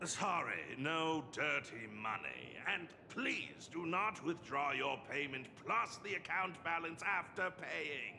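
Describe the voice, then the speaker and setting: Over clear background noise, a man does a put-on character voice at a fairly high pitch and a fairly slow pace. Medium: video game. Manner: polite, deadpan.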